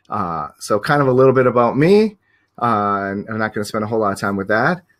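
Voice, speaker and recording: His voice sits at a medium pitch. The man's delivery is very fast. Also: ordinary pitch variation. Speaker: professional photographer and teacher. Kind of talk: webinar presentation. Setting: live online stream. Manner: hesitant with many fillers.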